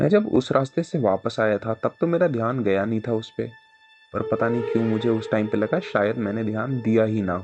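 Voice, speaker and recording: Over background music, a man talks at a medium pitch and a moderate pace with ordinary pitch variation. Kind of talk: horror story narration.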